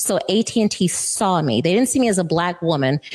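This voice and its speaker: With lively intonation, a woman at a medium pitch speaks at a moderate pace in a normal speaking voice. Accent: American. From Florida. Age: 50s. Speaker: lobbyist. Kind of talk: interview. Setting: studio.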